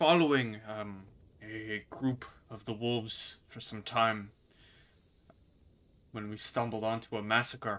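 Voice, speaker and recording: In a put-on character voice, a man speaks gruffly at a fairly slow pace with a medium pitch and fairly even intonation. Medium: actual play. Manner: gruff, hard.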